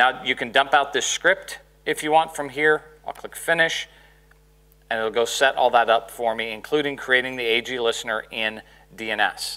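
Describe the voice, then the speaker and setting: A man with an American accent speaks at a moderate pace, his pitch medium with ordinary variation. His tone is bright and sharp. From Dallas, Texas; Texas. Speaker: conference speaker, SharePoint expert; conference presenter. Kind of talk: technical conference lecture with demo. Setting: conference room with audience. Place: hall.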